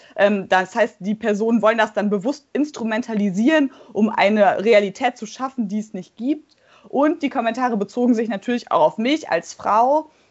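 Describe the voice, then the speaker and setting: A woman with an unremarkable speaking voice and ordinary pitch variation. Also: fairly high pitch for a woman, moderate pace. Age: 20s. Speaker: parliamentary candidate and law doctoral student. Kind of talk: interview.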